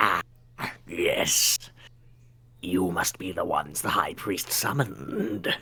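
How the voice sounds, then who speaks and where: Putting on a character voice, a man speaks at a very deep, low pitch with long, frequent pauses. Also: fairly slow pace. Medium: actual play. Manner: polite, measured.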